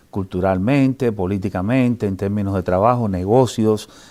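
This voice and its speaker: With a Cuban accent, a man talks at fairly low pitch in a dark, mellow tone. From Cuba, Havana. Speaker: sociology professor. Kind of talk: interview. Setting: newspaper building interview. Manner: halting, many fillers.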